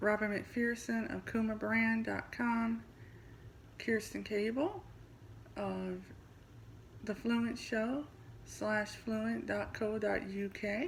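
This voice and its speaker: This woman has a Midwestern US accent. She talks at a very slow pace, with long, frequent pauses. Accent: US Midwest. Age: 40s. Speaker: podcast host and language teacher. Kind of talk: scripted self-introduction.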